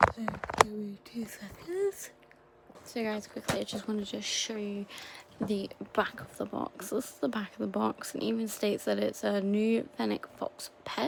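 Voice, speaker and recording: The voice is quiet and moves at a moderate pace. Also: woman. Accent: British. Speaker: toy unboxing YouTuber. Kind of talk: casual unboxing video. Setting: at home at night. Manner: quiet, hushed.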